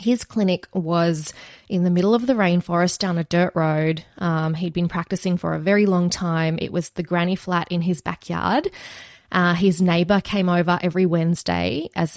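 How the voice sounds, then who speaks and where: With an Australian accent, a woman speaks in a fairly low voice, recorded very cleanly against a silent background with a dry, close sound and no echo. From Australia, Wagga Wagga NSW. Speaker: veterinary nurse and former lawyer. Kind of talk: interview about personal hardship.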